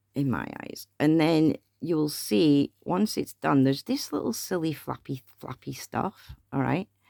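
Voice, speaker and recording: A woman mumbles at a fairly slow pace, her pitch very deep and low with ordinary variation. Her tone is dark and mellow, and the sound is dry and close with no echo. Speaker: craft tutorial maker. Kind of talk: tutorial. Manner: mumbling; chatty.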